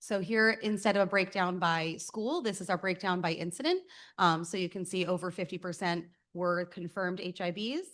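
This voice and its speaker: A woman speaks at a fairly quick pace with a medium pitch. The background is quiet. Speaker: school district administrator. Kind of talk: presentation of report data. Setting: school board meeting. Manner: loud.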